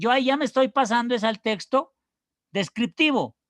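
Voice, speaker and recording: The background stays quiet. Words are delivered at a moderate pace. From Colombia, Pasto (Nariño). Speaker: university teacher. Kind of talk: lecture. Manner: hesitant, repeats words.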